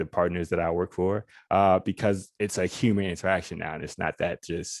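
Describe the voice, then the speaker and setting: Against a quiet background, a man with an American accent speaks at a moderate pace in a very deep, low pitch with monotone, flat intonation, the sound dry and close with no echo. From US South. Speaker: lawyer. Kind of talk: panel discussion. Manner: informal; halting, many restarts.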